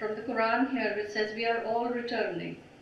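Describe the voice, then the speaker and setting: Against noticeable background noise, a woman with a fairly high pitch speaks at a moderate pace. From India. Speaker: poet. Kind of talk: introduction to a poem at a live reading.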